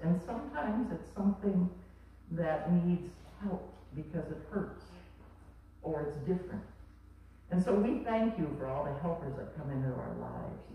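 Long, frequent pauses break up the speech, which carries strong room echo and light background noise. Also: moderate pace. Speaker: pastor leading children's message. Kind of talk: children's sermon and prayer. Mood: gentle, warm, simple words. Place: church.

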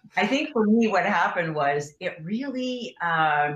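A woman's voice with audible room echo. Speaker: guest. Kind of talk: interview answer. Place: home room. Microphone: video call.

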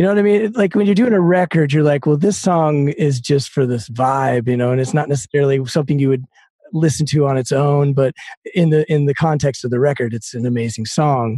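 At a fairly quick pace, a man with a fairly high pitch speaks in a somewhat breathy voice with a dark, mellow tone. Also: ordinary pitch variation. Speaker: podcast host and musician. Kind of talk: casual interview chat. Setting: home studio.

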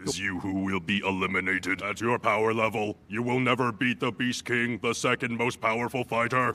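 It's a put-on character voice at a fairly quick pace. There are hardly any pauses. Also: man, medium pitch for a man. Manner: threatening, arrogant.

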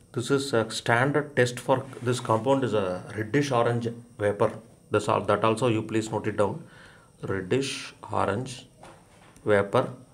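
A man at a medium pitch, fairly slow in pace, with fairly even intonation and audible room echo. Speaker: chemistry teacher. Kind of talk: lecture. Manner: hesitant, frequent fillers.

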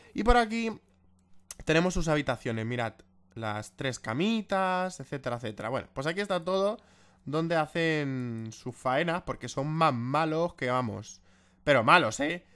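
A man's fairly high, bright, sharp voice, animated in tone, with very wide pitch swings at a fairly slow pace, on a very clean recording with a silent background. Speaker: gaming YouTuber. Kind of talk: gameplay commentary.

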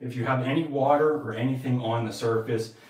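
A man speaks at a fairly quick pace with fairly even intonation, and the room echo is audible. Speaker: tile contractor. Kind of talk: tutorial. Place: bathroom.

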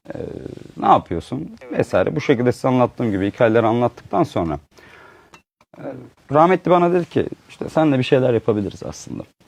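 Talking at a very fast pace with long, frequent pauses, a man at a medium pitch makes very wide pitch swings. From Uşak, western Turkey. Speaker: textile entrepreneur. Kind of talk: interview storytelling. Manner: hesitant, many fillers.

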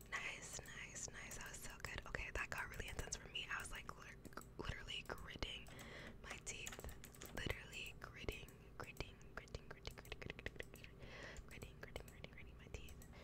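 Loud background noise surrounds a woman speaking at a fairly quick pace, with long, frequent pauses. The sound is dry, with no echo. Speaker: ASMR streamer / gamer. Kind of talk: ASMR gameplay commentary. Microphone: studio mic.

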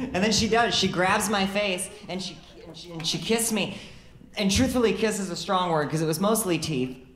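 With an American accent, a woman talks at a fairly quick pace with big swings in loudness, over light background noise and audible room echo. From Illinois, US Midwest. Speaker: stand-up comedian. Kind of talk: stand-up comedy set, confessional dating anecdotes with deadpan punchlines. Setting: comedy club stage with laughing audience. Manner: conversational storytelling, acting out quoted dialogue between herself and others; wry, self-deprecating, occasionally stumbling over words. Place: stage. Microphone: handheld.

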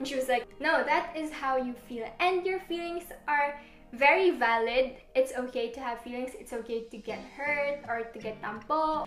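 A woman speaks at a high pitch and a fairly slow pace, with audible room echo and light background noise. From Philippines. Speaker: lifestyle vlogger. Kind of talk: casual talk to camera. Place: home room. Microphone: camera far.

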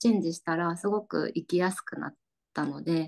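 Ordinary pitch variation from a woman, set against a quiet background. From Chiba, Japan. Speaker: rural revitalization volunteer; guest. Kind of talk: panel discussion. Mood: cheerful, relaxed. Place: home room. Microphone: video call.

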